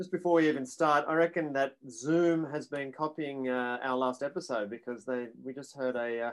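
Moderate in pace, the speech has an Australian accent and ordinary pitch variation. The background is quiet. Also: man. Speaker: podcast co-host. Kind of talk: casual chat. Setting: video call.

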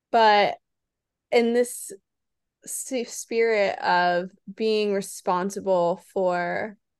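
An unremarkable speaking voice from a woman, fairly high in pitch with ordinary pitch variation, against a quiet background. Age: 30s. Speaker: podcast co-host. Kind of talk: casual chat.

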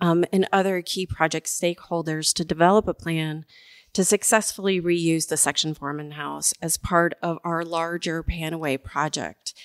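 On a very clean recording with a silent background, a woman talks at a moderate pace in a fairly low pitch with fairly even intonation and a normal speaking voice. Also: dry, close sound with no echo. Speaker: mayor hosting a city podcast. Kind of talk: interview. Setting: studio.

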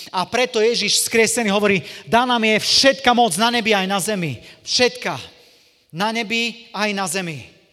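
With an animated tone, a man speaks in a raised, projected voice at a high pitch. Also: ordinary pitch variation, moderate pace. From eastern Slovakia, Košice. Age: 40s. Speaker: evangelist preacher. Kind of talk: sermon; testimony.

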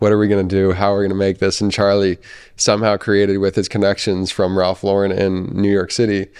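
The delivery comes at a very fast pace with monotone, flat intonation. Its loudness stays very even. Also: man, fairly low pitch for a man. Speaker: podcast host, golfer. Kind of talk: casual podcast interview.

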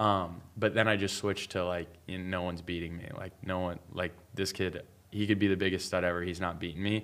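A man speaks in a very deep, low voice with a flat, monotone delivery and an American accent. His pace is fairly quick, and the recording is very clean with a silent background. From Pittsburgh, Pennsylvania. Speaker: college student and salesman. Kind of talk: casual chat.

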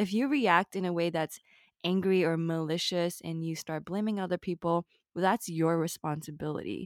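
Using an unremarkable speaking voice, a woman with a fairly low pitch speaks at a moderate pace with ordinary pitch variation, recorded very cleanly against a silent background with dry, close sound and no echo. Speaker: podcast host. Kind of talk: casual chat.

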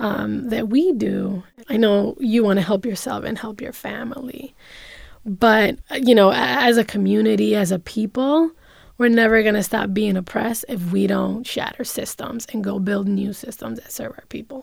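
In a normal speaking voice, a woman with an American accent talks at a moderate pace and a fairly high pitch, with ordinary pitch variation. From New York City (Bronx), Dominican-born. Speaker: social entrepreneur. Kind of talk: interview.

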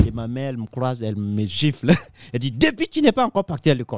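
This man speaks very fast, his voice captured with a dry, close sound that has no echo. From Africa. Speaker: comedian. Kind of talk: casual chat.

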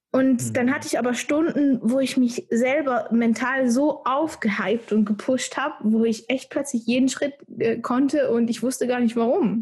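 Talking at a moderate pace, a woman uses a high pitch with ordinary pitch variation. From Switzerland. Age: 20s. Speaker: dancer. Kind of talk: casual chat.

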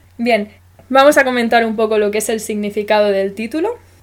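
A woman speaks in a normal speaking voice. Her pace is moderate and her intonation fairly even. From Spain. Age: 20s. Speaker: podcast host. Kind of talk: casual chat.

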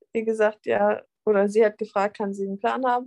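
A plain, everyday voice from a woman, fairly high in pitch, at a moderate pace, with a dry, close sound and no echo. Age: 20s. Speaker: fitness athlete and nutrition coach. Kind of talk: casual interview.

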